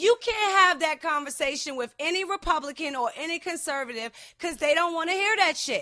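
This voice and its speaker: A raised, projected voice in an American accent, bright, sharp and animated in tone, at a fairly quick pace. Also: woman, extremely high pitch for a woman. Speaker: podcast host. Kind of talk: heated casual discussion. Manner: loud.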